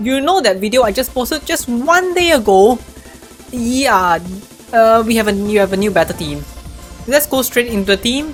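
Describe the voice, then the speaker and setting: With music in the background, a woman speaks at a moderate pace with a fairly high pitch. Her intonation is lively, and she takes long, frequent pauses. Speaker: mobile game guide creator. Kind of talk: game guide explanation.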